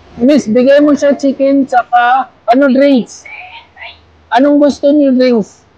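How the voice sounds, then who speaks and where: A woman at a very slow pace, high pitch and fairly even intonation, with noticeable background noise. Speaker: vlogger helping a street vendor. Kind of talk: casual street conversation.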